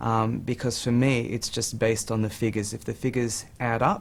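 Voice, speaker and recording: Here is a man with an Australian accent. His pitch is fairly low and his intonation fairly even. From Australia, Sydney. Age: 40s. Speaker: amateur property investor. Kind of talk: TV interview.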